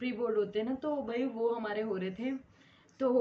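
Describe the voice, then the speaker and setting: A woman is speaking. Her pace is moderate. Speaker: vlogger. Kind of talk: casual chat. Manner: animated.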